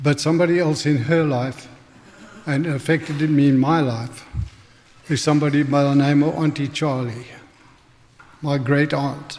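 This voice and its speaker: A man's fairly high voice in a southern African accent, monotone and flat, at a moderate pace with long, frequent pauses, very even loudness and noticeable background noise. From Northern Rhodesia and South Africa. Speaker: church member giving testimony. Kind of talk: testimony sermon. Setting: church.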